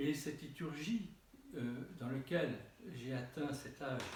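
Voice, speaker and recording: In a room with audible echo, a man speaks at a fairly slow pace, somewhat breathy, his fairly high pitch moving with ordinary variation. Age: 70s. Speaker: Orthodox bishop. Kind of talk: sermon. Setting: church. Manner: halting.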